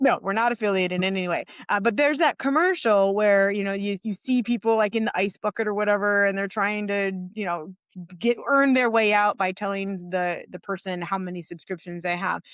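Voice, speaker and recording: Fairly quick in pace, a woman with a plain, everyday voice at medium pitch and ordinary pitch variation comes through a very clean recording with a silent background and a dry, close sound with no echo. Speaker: podcast co-host for financial coaches. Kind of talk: podcast conversation.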